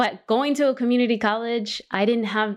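Moderate pace from a woman, very clean recording, silent background. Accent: Californian. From Los Angeles. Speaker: college system chancellor and podcast host. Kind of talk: interview.

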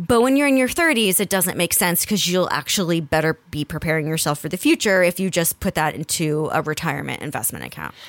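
A woman with an American accent uses an ordinary speaking voice, speaking at a fairly quick pace with lively intonation. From New Jersey. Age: 30s. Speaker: podcast host. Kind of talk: casual chat.

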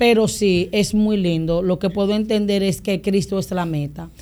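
In a Dominican accent, a woman with a medium pitch and a dark, mellow tone speaks at a moderate pace with ordinary pitch variation. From Dominican Republic (San Pedro de Macorís, Boca Chica). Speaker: pastor. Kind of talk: casual interview.

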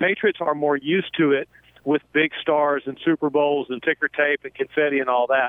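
Using a normal speaking voice with an American accent, a man talks at a fairly quick pace, fairly high in pitch, his intonation fairly even. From North Carolina. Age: 60s. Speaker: football play-by-play announcer. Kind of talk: radio interview.

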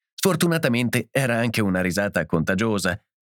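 Lively intonation in plain reading aloud

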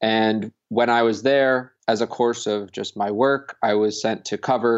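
Monotone, flat delivery in an American accent. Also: man. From Connecticut. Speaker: Bitcoin activist. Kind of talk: interview.

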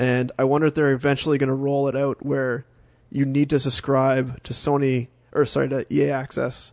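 A man speaks at a moderate pace with a fairly high pitch. The background is quiet. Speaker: podcast co-host and game developer. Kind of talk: casual chat.

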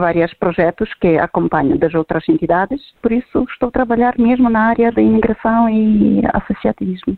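With a Ukrainian accent, a woman talks in a fairly high pitch and lively intonation. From Ukraine. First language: Ukrainian or Russian (speaking Portuguese). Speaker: immigrant association leader. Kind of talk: recorded interview.

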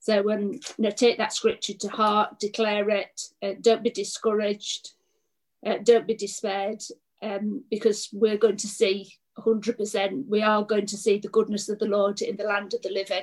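A woman at medium pitch speaks with monotone, flat intonation. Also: moderate pace. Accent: English. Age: 50s. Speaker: pastor. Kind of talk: preaching.

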